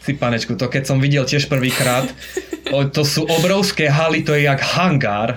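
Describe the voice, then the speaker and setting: Loudness stays very even, and pitch varies in an ordinary way at a moderate pace. Background noise is noticeable. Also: man, fairly high pitch for a man. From Slovakia, Košice. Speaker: expat living in Japan. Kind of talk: interview. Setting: remote call.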